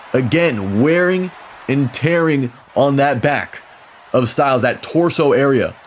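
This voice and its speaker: A man speaks in an excited, energetic tone with fairly high pitch. Noticeable background noise sits behind him. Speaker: wrestling commentator. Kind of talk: wrestling play-by-play commentary.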